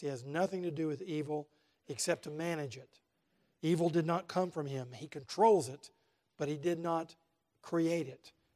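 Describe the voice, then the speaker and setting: A man speaks in a plain, everyday voice at a moderate pace and fairly high pitch. His intonation is fairly even, while his loudness swings widely. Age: 60s. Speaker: Bible teacher. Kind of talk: Bible lecture to men's group. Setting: class with live audience.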